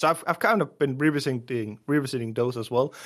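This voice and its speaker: Against a quiet background, a man with a Danish accent talks in a medium pitch with ordinary pitch variation. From Denmark. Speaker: indie app developer. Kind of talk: casual interview.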